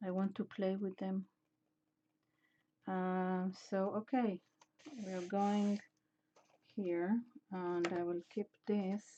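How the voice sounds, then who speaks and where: Speaking at a very slow pace with long, frequent pauses, the voice has a non-native accent, a dark, mellow tone, and monotone, flat intonation. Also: woman, medium pitch for a woman. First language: not English. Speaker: mixed media artist. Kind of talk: casual art livestream narration. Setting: home art studio. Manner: halting, many fillers.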